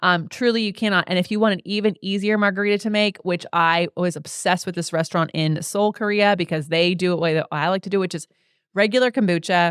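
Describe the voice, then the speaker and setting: A woman talks at a very fast pace in an animated tone. The recording is very clean and dry, close with no echo, against a silent background. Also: medium pitch for a woman. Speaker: podcast host and Pilates teacher. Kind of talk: casual chat.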